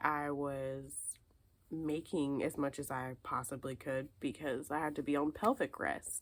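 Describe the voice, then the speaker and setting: At a fairly slow pace, a woman with a very deep, low pitch talks in fairly even intonation. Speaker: lifestyle and fiber arts vlogger. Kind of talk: casual chat. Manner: casual, filler-heavy; dry and dull at start, quiet.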